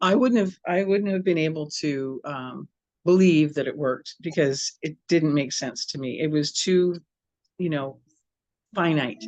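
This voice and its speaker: A woman with a very deep, low pitch and an American accent, at a fairly slow pace with ordinary pitch variation. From Southern California. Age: 70s. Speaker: massage therapist. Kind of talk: interview. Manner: animated.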